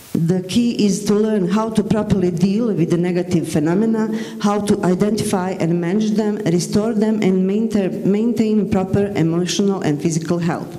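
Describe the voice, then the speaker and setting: The speaker has a Bosnian accent, fairly even intonation and very even loudness, keeping a moderate pace with hardly any pauses. Audible room echo and noticeable background noise run through the clip. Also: woman, medium pitch for a woman. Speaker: teacher. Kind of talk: conference presentation. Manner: halting, with self-corrections.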